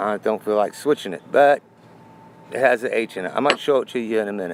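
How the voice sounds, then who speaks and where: The talking goes at a very fast pace with ordinary pitch variation. Noticeable background noise is present. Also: man, medium pitch for a man. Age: 60s. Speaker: coin collector. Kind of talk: casual talk to camera.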